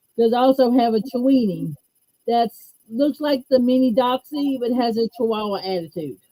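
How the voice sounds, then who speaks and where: The woman speaks with a Southern US accent at a high pitch. She keeps a moderate pace with ordinary pitch variation. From US Gulf Coast, Mobile, Alabama. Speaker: stroke survivor. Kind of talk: interview.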